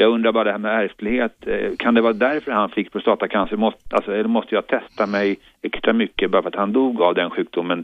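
A man with a plain, everyday voice talks at a fairly low pitch. He moves at a fairly quick pace with fairly even intonation. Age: 50s. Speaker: caller. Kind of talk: call-in question. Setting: phone call.

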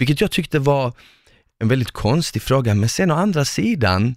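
Lively intonation marks this man's medium-pitched voice at a moderate pace. The recording is very clean, with a silent background. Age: 20s. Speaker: podcast host, former reality TV contestant. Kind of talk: casual chat.

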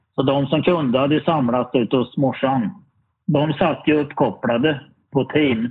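A man with an ordinary speaking voice and a fairly high pitch speaks at a fairly slow pace, with ordinary pitch variation and very even loudness. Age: 50s. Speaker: lottery winner, workshop industry worker. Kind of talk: interview. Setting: video call.

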